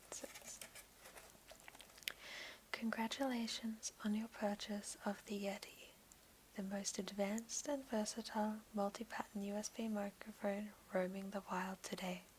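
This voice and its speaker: Against noticeable background noise, a woman with an Australian accent speaks at a fairly slow pace and medium pitch, in a flat monotone with long, frequent pauses. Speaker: ASMR creator. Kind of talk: ASMR unboxing. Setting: home office, headset microphone. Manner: whispered, soft-spoken.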